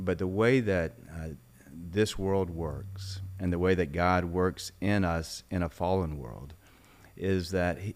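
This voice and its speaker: A man speaks with a Mississippi accent at a very deep, low pitch. His pace is very slow. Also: very clean recording, silent background. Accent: Southern US (Mississippi). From Mississippi, US South. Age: 60s. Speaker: former congressman, business executive. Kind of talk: interview conversation.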